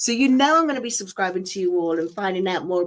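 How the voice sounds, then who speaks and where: A woman speaks in a strong Nottingham accent, her pitch swinging very widely. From Nottingham, England. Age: 40s. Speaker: weight-loss vlogger. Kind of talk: casual chat. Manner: energetic.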